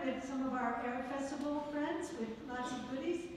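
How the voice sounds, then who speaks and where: A woman's high-pitched voice, monotone and flat, with light background noise and strong room echo. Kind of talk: announcements. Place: hall.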